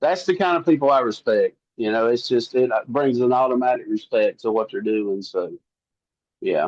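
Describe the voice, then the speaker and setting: Speaking at a moderate pace, a man talks with a Southern US accent. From US South. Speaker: country singer-songwriter. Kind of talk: interview. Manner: casual.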